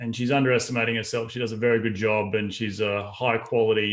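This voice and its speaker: A man with an Australian accent talks at a fairly quick pace with fairly even intonation. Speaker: real estate investor. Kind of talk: podcast interview.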